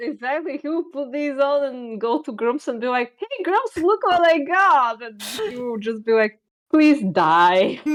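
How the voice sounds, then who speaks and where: A woman with a Bulgarian accent speaks high-pitched at a fairly slow pace. Her pitch swings very widely and her loudness swings a lot. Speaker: streamer and artist. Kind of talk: casual chat. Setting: live stream.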